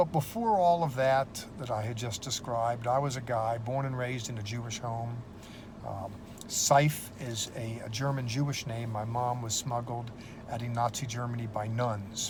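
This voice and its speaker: A somewhat breathy man with an American accent, medium in pitch, at a moderate pace with fairly even intonation and audible room echo. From United States. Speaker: seminary professor. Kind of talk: testimony. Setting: in a police car. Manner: casual, with many fillers.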